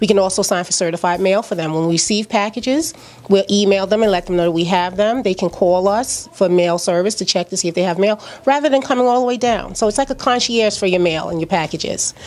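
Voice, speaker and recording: Someone with a New York accent talks at a very fast pace with ordinary pitch variation. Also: woman, medium pitch for a woman. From Brooklyn, New York (Flatbush). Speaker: small business owner. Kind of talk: interview. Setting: at her store during grand opening. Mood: warm, promotional. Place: shop. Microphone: handheld.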